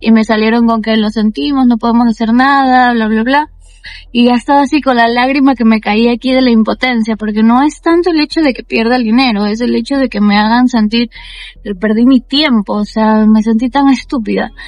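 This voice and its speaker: With music in the background, a woman with a fairly high pitch talks at a fairly quick pace with ordinary pitch variation. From Ecuador. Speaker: travel vlogger. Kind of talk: casual vlog storytelling. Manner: animated.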